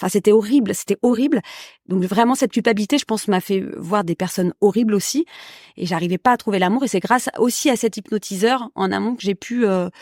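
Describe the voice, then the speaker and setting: A woman speaks at a fairly quick pace with a medium pitch. The recording is very clean, with a silent background and a dry, close sound with no echo. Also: ordinary pitch variation. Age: 40s. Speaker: podcast guest sharing love experience. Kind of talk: casual interview chat. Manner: hesitant, many fillers.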